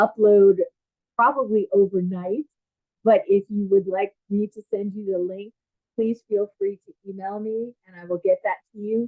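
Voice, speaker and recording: A woman with an American accent speaks at medium pitch and a fairly slow pace, her intonation fairly even and her loudness swinging widely. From US Northeast (Long Island, New York). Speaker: education program manager and curriculum writer. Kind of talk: webinar presentation. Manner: hesitant, many fillers.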